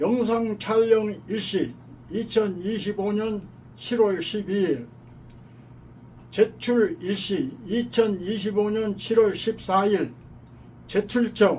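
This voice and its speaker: Very slow and broken by long, frequent pauses, a man's high voice shows ordinary pitch variation. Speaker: army veteran. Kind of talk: testimony statement for an appeal.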